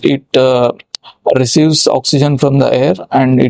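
Against a quiet background, a man talks at a moderate pace, the sound dry with no echo. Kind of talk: medical explainer lecture. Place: studio. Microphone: lapel.

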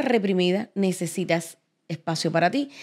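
A woman speaks against a quiet background. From Cuba. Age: 50s. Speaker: podcast host. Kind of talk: casual interview chat. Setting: studio set. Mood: reflective, personal storytelling. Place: studio. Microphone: studio mic.

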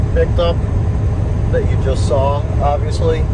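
A man talks at a moderate pace. Loud background noise surrounds his voice. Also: dry sound with no echo. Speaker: farmer vlogger. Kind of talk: casual vlog chat. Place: car. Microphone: phone near.

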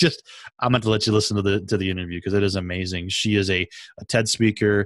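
This man has a Midwestern American accent, a fairly low pitch and an enthusiastic tone. His voice sounds dry with no echo over a quiet background. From US Midwest. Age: middle-aged. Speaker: podcast host. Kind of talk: interview conversation. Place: home room. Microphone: studio mic.

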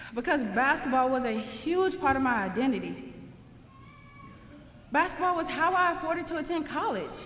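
Lively intonation and an American accent mark this moderately paced speech, with long, frequent pauses. Light background noise and audible room echo are present. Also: woman, high pitch for a woman. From St. Louis, Missouri, USA. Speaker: engineering graduate and former college basketball player. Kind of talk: commencement speech to graduates. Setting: live ceremony, speaking to an audience. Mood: earnest, reflective. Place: hall. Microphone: podium.

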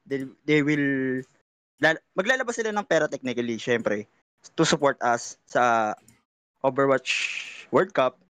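With a Filipino accent, a man speaks at a fairly high pitch with long, frequent pauses, the sound dry with no echo and the background quiet. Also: lively intonation, moderate pace. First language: Tagalog. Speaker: general manager candidate, esports player; candidate. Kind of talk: candidate Q&A panel. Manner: halting. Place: home room. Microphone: video call.

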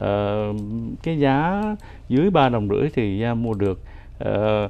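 A man speaks at a very slow pace. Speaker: finance commentator. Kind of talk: casual chat. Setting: studio. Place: studio.

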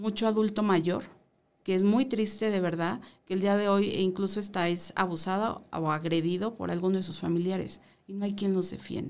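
A woman talks at a moderate pace. Her pitch is medium, with ordinary variation. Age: 40s. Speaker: mayoral candidate; candidate. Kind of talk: radio interview. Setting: radio studio. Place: studio. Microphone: studio mic.

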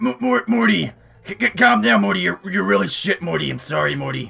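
Doing a raspy cartoonish character voice at medium pitch, a man speaks at a moderate pace while faint music plays in the background. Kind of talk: cartoon impression. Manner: yelling, insulting, irritable.

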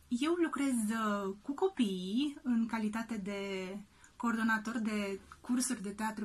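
A woman with a somewhat breathy, fairly high voice talks at a very slow pace with ordinary pitch variation. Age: 30s. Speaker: actress and children's drama teacher. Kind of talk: video message to parents. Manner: hesitant with frequent fillers.

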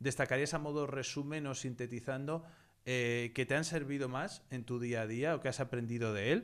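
A man with an ordinary speaking voice talks at a fairly slow pace, his pitch fairly high. The background is quiet. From Spain. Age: 30s. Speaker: investing educator and channel host; investing educator, channel host. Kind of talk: interview / online masterclass. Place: home room. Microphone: studio mic.

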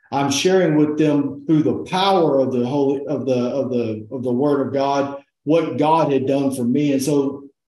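Over audible room echo, a man speaks in a dark, mellow tone at a moderate pace with fairly even intonation. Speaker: interview guest. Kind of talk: testimony interview answer. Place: home room. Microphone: video call.

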